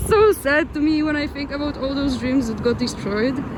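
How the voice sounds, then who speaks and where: With a non-native accent and ordinary pitch variation, a woman speaks at a moderate pace amid audible room echo. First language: not English. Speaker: travel vlogger. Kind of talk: vlog narration while walking. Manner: halting, frequent restarts.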